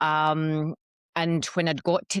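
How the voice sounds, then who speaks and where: A woman with a Scottish accent and a very deep, low pitch, in a dry, close sound with no echo on a very clean recording with a silent background. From Scotland. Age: 40s. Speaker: ayahuasca practitioner. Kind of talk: interview testimony. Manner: hesitant, many fillers.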